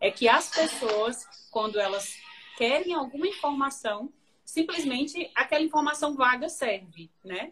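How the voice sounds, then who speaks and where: Her voice sits high for a woman, and she talks at a fairly slow pace. The woman's intonation is lively. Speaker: journalist and interview host. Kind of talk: casual interview on a live stream. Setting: Instagram live video call.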